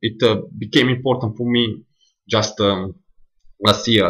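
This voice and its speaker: With flat, monotone intonation, a man moves through his words at a fairly slow pace. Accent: Italian. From Northern Italy, near Milan. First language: Italian. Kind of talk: casual monologue, audio recording. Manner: hesitant, many fillers.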